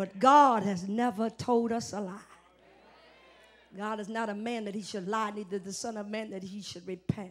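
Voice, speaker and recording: Loudness swings widely. The intonation stays fairly even. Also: woman, moderate pace. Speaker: preacher. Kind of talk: live church sermon. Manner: call-and-response, emphatic. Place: church. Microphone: handheld.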